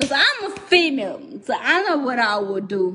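A woman speaks at a fairly slow pace. Noticeable background noise is present. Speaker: livestreamer. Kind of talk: casual livestream rant. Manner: drunk, loose slurred ranting speech. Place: home room. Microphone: phone near.

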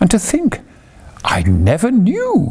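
A man pitches his put-on character voice high. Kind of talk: reading a children's book aloud. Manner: dreamy monotone. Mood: calm, cosy storytelling.

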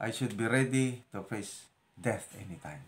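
The pace is fairly slow as a man talks. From Philippines, La Union (Ilocos region); La Union, Philippines. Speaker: retired officer turned vlogger and farmer; retired officer turned vlogger. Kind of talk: casual personal vlog talk. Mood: reflective, calm, faith-filled. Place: kitchen. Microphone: phone near.

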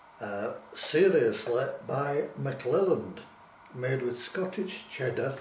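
A man speaking very slowly, with audible room echo and light background noise. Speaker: food reviewer. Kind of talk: casual vlog chat. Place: kitchen. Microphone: camera far.

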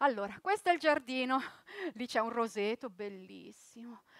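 A high-pitched woman at a moderate pace, her sound dry with no echo, over a quiet background. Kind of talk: theatrical monologue and narration. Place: stage.

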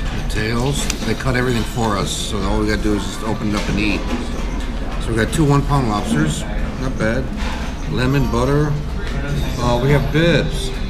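A man speaks over music in the background. He leaves long, frequent pauses. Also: moderate pace. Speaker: food vlogger. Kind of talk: casual vlog chat. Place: cafe.

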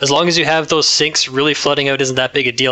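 Speaking with a Canadian accent, a man holds a medium pitch and fairly even intonation. Noticeable background noise can be heard. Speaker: co-host, card game player. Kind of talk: casual chat.

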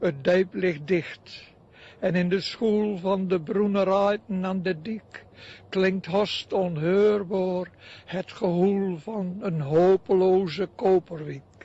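With a Drenthe accent, a man speaks very slowly in a high voice with fairly even intonation. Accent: North Drenthe dialect. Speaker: retired schoolteacher, poet. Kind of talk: poetry reading.

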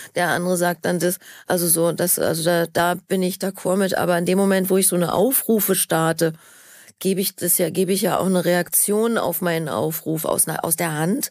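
A plain, everyday voice speaks at a moderate pace with fairly even intonation. The recording is very clean with a silent background. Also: woman, fairly low pitch for a woman. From Berlin. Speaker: actress. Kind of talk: interview answer.

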